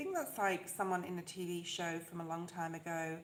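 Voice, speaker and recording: A soft-spoken woman with fairly low pitch, monotone, flat intonation and a moderate pace, with audible room echo and noticeable background noise. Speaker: tarot reader. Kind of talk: live tarot reading stream.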